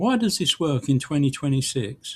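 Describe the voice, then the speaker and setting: A man with a British accent speaks at a moderate pace, his voice fairly high and somewhat breathy. His pitch swings very widely. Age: 70s. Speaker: online business tutorial creator. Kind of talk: tutorial.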